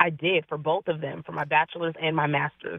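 In a monotone, flat intonation, a woman speaks at a very deep, low pitch. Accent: West Coast. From US Pacific Northwest, Seattle area. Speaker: registered nurse and wellness coach. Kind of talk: radio interview.

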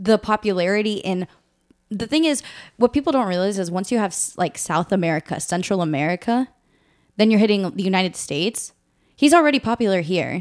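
A woman talks at a fairly quick pace in a plain, everyday voice of medium pitch, with lively intonation. The recording is very clean, with a silent background. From US, Northern Virginia. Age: 20s. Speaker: podcast co-host. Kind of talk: casual chat.

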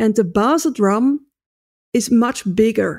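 On a very clean recording with a silent background, a woman with a Dutch accent and a fairly high pitch speaks at a very slow pace with lively intonation. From Netherlands. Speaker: drumming teacher and author. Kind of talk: interview. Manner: halting non-native English.

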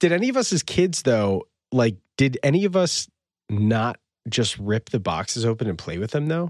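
Recorded dry and close with no echo over a quiet background, a man with an American accent and medium pitch talks at a moderate pace, his pitch swinging very widely. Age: 30s. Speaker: podcast co-host. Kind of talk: casual chat. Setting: video call.

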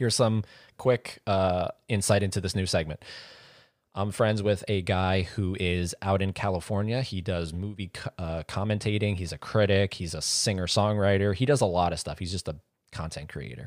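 The recording is very clean and silent behind a dry, close voice with no echo. A man speaks at a moderate pace with a fairly low pitch and ordinary pitch variation. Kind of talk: casual chat.

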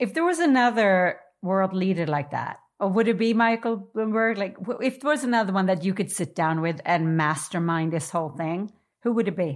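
A woman's fairly quick speech in a plain, everyday voice, medium in pitch with lively intonation. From New York. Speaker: podcast host and coach. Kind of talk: interview. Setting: video call.

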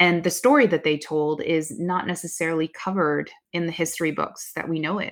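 In a Californian accent, a woman with a fairly low pitch talks at a fairly quick pace with fairly even intonation. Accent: General American (California). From US West Coast, Bay Area (Oakland). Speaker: marketing executive. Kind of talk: interview.

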